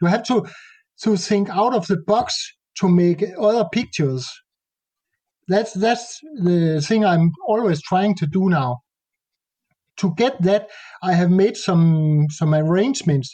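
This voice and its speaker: The voice has a dark, mellow tone and a Danish accent, with ordinary pitch variation. It moves fairly slowly at very even loudness, with long, frequent pauses. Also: man, high pitch for a man. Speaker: nature photographer. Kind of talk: interview conversation. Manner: halting.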